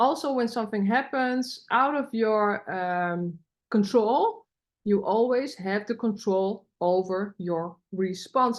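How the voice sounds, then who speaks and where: Over a quiet background, a woman with a Dutch accent speaks at a fairly high pitch with ordinary pitch variation. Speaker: podcaster. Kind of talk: personal development podcast monologue.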